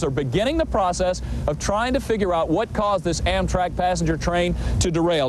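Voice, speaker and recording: A man speaks in a high voice at a very fast pace. Noticeable background noise is present. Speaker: TV news anchor and reporter. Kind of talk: live field report. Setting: outdoors.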